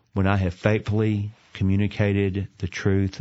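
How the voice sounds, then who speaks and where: In a Southern US accent, a man with a very deep, low pitch speaks at a fairly slow pace. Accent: Southern American. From US South, Atlanta, Georgia. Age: 50s. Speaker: seminary president and preacher. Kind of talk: interview. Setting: studio.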